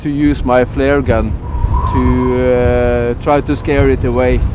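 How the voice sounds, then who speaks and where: A man at a very slow pace, with a dry, echo-free sound and noticeable background noise. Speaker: interviewee. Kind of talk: interview answer. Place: open country.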